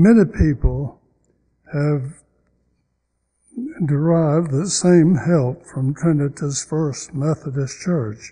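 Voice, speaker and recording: A man with a Southern US accent speaks very slowly and somewhat breathily. His pitch is fairly high with ordinary variation, and the background is quiet. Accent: Southern American. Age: 80s+. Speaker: church member. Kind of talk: letter read aloud to congregation. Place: church. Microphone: podium.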